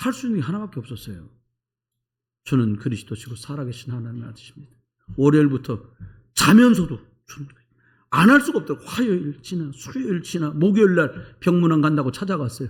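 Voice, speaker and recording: The voice jumps widely in loudness and pitch, with a somewhat breathy, animated tone. It moves at a very fast pace, broken by long, frequent pauses. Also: man, fairly high pitch for a man. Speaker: pastor. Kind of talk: sermon. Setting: church.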